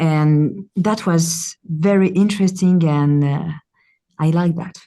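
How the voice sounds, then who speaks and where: A woman with a French accent speaks at a very slow pace and a fairly low pitch. Her tone is dark and mellow, and her intonation fairly even. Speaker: actress. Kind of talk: interview. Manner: halting, many hesitations.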